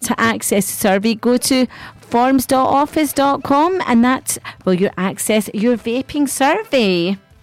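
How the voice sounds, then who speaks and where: Speaking at a fairly slow pace in a bubbly, upbeat tone, this voice has a dry, close sound with no echo and noticeable background noise behind it. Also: woman. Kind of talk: radio DJ patter between songs, with station IDs, travel and weather slots. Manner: bubbly, chatty and upbeat, with cheery catchphrases, laughing and quipping.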